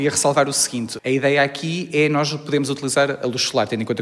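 The speaker goes at a very fast pace with fairly even intonation while noticeable background noise is present. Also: man. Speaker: chemical engineering researcher. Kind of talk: interview. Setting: university laboratory.

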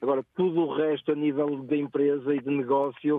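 Noticeable background noise surrounds a man speaking at a fairly slow pace. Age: 40s. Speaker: ride-hailing driver. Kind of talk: radio phone-in chat. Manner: halting, many repetitions.

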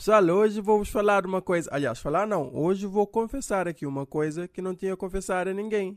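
A man's high-pitched voice with a Cape Verdean accent, fairly quick, with ordinary pitch variation and a dry, close sound with no echo. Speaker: comedian. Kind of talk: comedic monologue.

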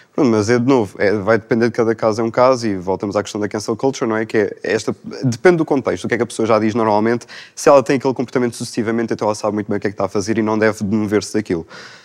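Here a man talks at a very fast pace. His intonation is fairly even. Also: medium pitch for a man. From Portugal, Lisbon area. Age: 20s. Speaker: young panel guest. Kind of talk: panel discussion.

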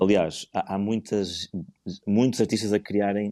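A man speaks at a fairly slow pace in a dark, mellow tone. His intonation is monotone and flat, over a quiet background. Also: dry, close sound with no echo. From northern Portugal, Porto. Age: 40s. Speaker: visual artist. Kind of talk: casual interview. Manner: halting.

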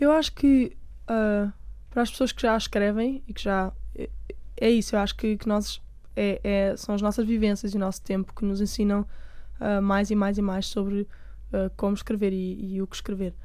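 This woman's voice has a dark, mellow tone and a medium pitch. Her intonation is fairly even, and she keeps a moderate pace. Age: 20s. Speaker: singer-songwriter. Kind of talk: interview.

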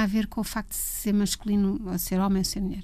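Somewhat breathy with a dark, mellow tone, a woman talks at a fairly quick pace. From Portugal, Leiria. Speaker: music photographer. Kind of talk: interview.

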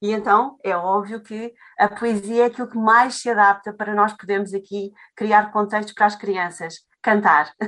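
A woman talks at a moderate pace and medium pitch. Her intonation is fairly even. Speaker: Portuguese language teacher. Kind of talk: interview conversation. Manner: halting.

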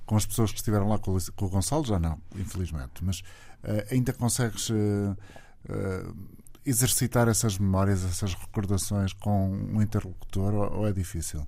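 A man's dark, mellow tone comes through with audible room echo. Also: fairly low pitch for a man, ordinary pitch variation, moderate pace. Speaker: radio host. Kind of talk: radio interview.

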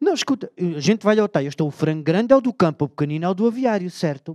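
A man's high-pitched voice with lively intonation, dry and close with no echo. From Alentejo, Portugal (Beja). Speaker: storyteller. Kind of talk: comic talk on stage. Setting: auditorium with audience.

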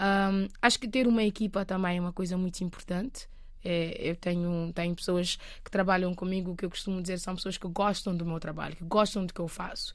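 Delivered at a fairly quick pace with fairly even intonation, the speech comes through on a very clean recording with a silent background. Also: woman, medium pitch for a woman. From Cape Verde. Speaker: singer-songwriter. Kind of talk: interview. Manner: halting.

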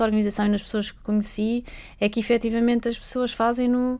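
With a dark, mellow tone and a fairly high pitch, a woman speaks at a very fast pace in a monotone, flat intonation, captured in a very clean recording with a silent background. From Macau. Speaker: infectious disease doctor, humanitarian worker. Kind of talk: radio interview.

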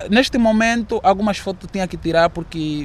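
This man's pitch varies in an ordinary way as he keeps to a moderate pace. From Angola. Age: 20s. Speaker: student. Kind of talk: interview. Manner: halting.

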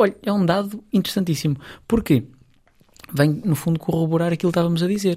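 Very fast speech in a European Portuguese accent is broken by long, frequent pauses. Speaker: psychologist. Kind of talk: radio interview.

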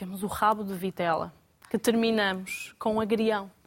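A woman with a fairly high pitch talks at a fairly slow pace in an ordinary speaking voice. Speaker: restaurant owner. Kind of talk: studio panel discussion. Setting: studio.

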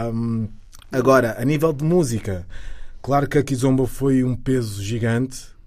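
A man talks in a normal speaking voice at a moderate pace, his medium pitch showing ordinary pitch variation. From Lisbon, Portugal (Cova da Moura). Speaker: singer. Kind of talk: interview.

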